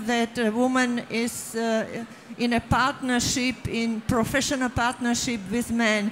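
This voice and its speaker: Against noticeable background noise, a woman talks fairly slowly at a high pitch in a monotone, flat way. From Czechoslovakia. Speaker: author. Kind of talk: stage panel discussion. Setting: stage with audience. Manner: halting.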